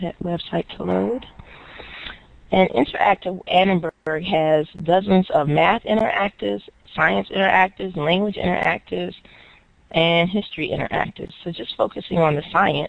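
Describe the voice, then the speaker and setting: With an unremarkable speaking voice, a woman talks at a moderate pace, her fairly low pitch showing ordinary variation. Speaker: educator presenting STEM resources. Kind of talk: webinar presentation. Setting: online webinar.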